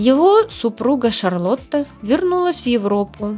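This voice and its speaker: A woman's voice swings very widely in pitch. Music plays in the background. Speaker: travel vlogger. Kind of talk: travel narration. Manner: soft-spoken; slow.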